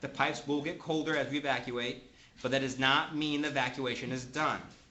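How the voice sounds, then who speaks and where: A man with a fairly high pitch talks in a monotone, flat way. Audible room echo and noticeable background noise fill the recording. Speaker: manufacturer trainer. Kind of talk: technical training class. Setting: classroom with audience. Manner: fast.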